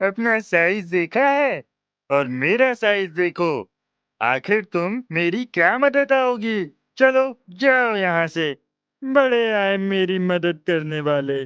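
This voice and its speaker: A cartoonish character voice sits at a middle pitch and moves at a very slow pace. The background is quiet. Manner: boastful, mocking.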